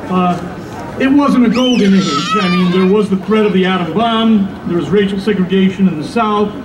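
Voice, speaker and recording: Heard with audible room echo and noticeable background noise, a man speaks at a moderate pace. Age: 60s. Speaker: radio host speaking at a rally. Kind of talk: rally speech. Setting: outdoor rally. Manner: frequent filler uh's.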